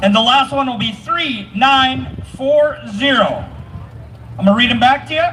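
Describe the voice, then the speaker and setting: A man speaks loudly at a fairly slow pace in an extremely high pitch with ordinary pitch variation, with audible room echo and noticeable background noise. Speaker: event emcee. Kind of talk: crowd announcements. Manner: animated.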